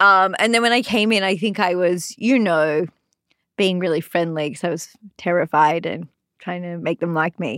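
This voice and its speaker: A woman with an Australian accent speaks at a fairly low pitch with ordinary pitch variation, the sound dry and close with no echo. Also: moderate pace. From Sydney, Australia. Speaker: comedian. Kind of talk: casual chat. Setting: studio.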